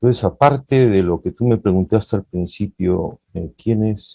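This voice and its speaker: Dry and close with no echo, a man's dark, mellow voice sits fairly low in pitch, moving at a fairly slow pace with ordinary pitch variation. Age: 60s. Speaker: poet. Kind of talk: interview.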